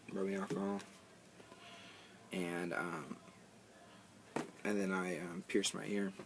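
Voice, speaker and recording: With noticeable background noise behind him, a man in a very deep, low pitch speaks in a flat monotone at a fairly slow pace with long, frequent pauses. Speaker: vlogger. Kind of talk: casual video tutorial. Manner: halting, many fillers and pauses.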